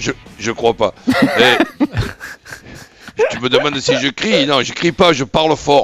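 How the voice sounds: A hoarse, put-on character voice shouts at a fairly slow pace. Long pauses break it up often. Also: man, fairly high pitch for a man.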